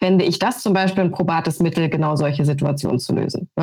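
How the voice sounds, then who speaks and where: A woman with an unremarkable speaking voice, at a fairly quick pace. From Brandenburg, eastern Germany. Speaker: sports TV presenter. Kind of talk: podcast discussion.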